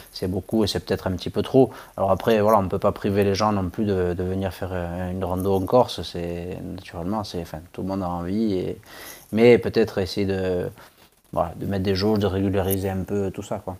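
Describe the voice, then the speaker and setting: A man with a very deep, low pitch and a dark, mellow tone speaks fairly quickly in a monotone, flat intonation. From Corsica. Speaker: ultra-trail runner. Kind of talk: interview.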